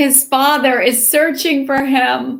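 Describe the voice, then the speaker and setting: Putting on a raspy character voice, a woman speaks at a fairly slow pace in a high pitch with monotone, flat intonation. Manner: slow and clear.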